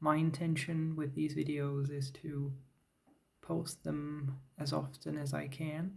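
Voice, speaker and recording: Speaking at a very slow pace, a man has a fairly high, somewhat breathy voice. His intonation stays monotone and flat. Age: 30s. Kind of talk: talking head vlog. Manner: halting, with fillers.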